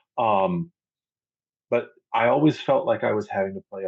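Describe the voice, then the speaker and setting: A man talks at a medium pitch, his voice swinging very widely up and down. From US South. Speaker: podcast guest, pagan. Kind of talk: casual interview chat. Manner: rambling, conversational.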